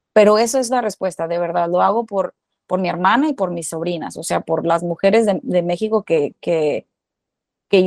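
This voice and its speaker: The sound is dry and close, with no echo. A woman speaks in a dark, mellow tone with ordinary pitch variation. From Mexico, Culiacán, Sinaloa. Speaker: actress and screenwriter. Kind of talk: interview, casual chat.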